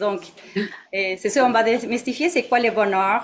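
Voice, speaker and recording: A woman with a Mexican accent speaks at a fairly slow pace with ordinary pitch variation. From Mexico. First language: Spanish (speaking French). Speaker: meditation teacher. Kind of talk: dharma talk to an audience. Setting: meditation centre with live audience and online. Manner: halting, many fillers.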